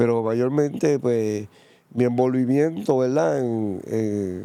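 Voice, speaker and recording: In a very clean recording with a silent background, a man talks at a fairly slow pace in a dark, mellow tone with ordinary pitch variation. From Puerto Rico, San Juan. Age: 60s. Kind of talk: testimony interview.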